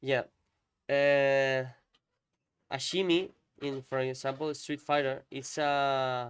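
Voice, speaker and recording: A man speaks very slowly with long, frequent pauses. His fairly high pitch stays monotone and flat. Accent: Spanish. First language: Spanish. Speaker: fighting game content creator, interviewer. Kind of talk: casual chat, match analysis. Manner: halting.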